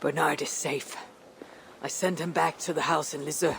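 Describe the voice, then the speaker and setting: In a put-on character voice, raspy and at a middle pitch, someone talks at a moderate pace over clear background noise. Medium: video game. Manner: blunt, clipped.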